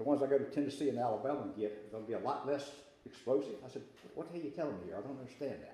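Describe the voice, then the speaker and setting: Speaking at a very fast pace with a Southern US accent, a man uses a fairly high pitch and ordinary pitch variation. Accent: Southern US (Georgia). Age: 60s. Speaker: state legislator. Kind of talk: luncheon talk. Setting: business luncheon with audience. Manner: casual, hesitant with fillers.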